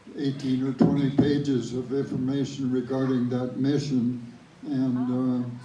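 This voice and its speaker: There is noticeable background noise. A man speaks at medium pitch and a fairly slow pace in a monotone, flat intonation. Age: 80s+. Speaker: World War Two veteran. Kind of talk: interview answer.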